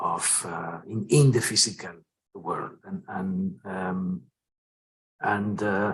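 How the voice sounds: In a low voice with a husky, rough edge, a man speaks at a slow pace with fairly even intonation.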